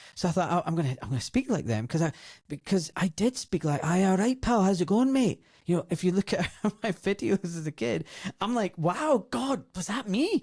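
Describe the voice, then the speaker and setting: At a fairly quick pace, the speech makes very wide pitch swings, captured dry and close with no echo on a very clean recording with a silent background. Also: man, high pitch for a man. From Scotland, Glasgow (Govan, south side). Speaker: doctor. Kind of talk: interview. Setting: studio.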